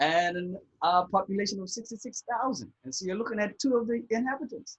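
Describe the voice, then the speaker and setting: Speaking with a Bermudian accent, a man uses a high pitch and lively intonation at a fairly quick pace. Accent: Bermudian, somewhat British-sounding. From Bermuda. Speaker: divorce coach. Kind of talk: casual interview.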